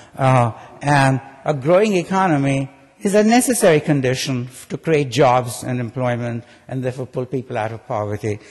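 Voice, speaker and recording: Against noticeable background noise, a man at medium pitch talks at a fairly quick pace with lively intonation and big swings in loudness. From India. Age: 70s. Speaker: economics professor. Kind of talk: keynote speech. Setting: conference stage with audience. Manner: conversational, frequent fillers and repetitions.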